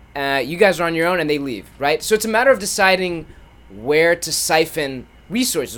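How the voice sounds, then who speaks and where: With a plain, everyday voice, a man talks at a moderate pace and a fairly high pitch, his intonation lively. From Ethiopian family, raised in US. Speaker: podcast host. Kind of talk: casual chat.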